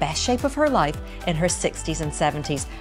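With clear music in the background, a woman speaks at a fairly quick pace. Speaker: journalist. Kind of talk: podcast introduction. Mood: warm, enthusiastic. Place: home room.

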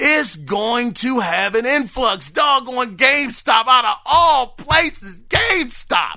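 At an extremely high pitch, a man uses a raised, projected voice with a bright, sharp, animated tone and lively intonation. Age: 40s. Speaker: gaming podcast host. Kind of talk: casual solo podcast monologue.

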